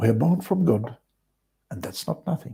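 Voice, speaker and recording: Vocal fry runs through a man's dark, mellow tone as his pitch swings very widely. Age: 60s. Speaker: vlogger. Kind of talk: casual monologue.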